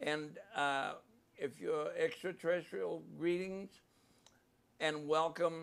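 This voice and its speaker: A speaker with a New Zealand accent. The pace is very slow. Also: man. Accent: New Zealand accent, noticeable. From New Zealand, Maori. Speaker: podcast host. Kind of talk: live podcast interview. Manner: halting, with fillers.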